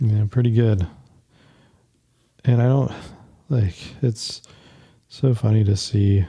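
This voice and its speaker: A man with an American accent speaks very slowly, leaving long, frequent pauses. His medium-pitched voice is somewhat breathy with a dark, mellow tone, fairly even intonation and very even loudness. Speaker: footwear designer, podcast host. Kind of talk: casual tutorial while sketching. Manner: halting, many fillers.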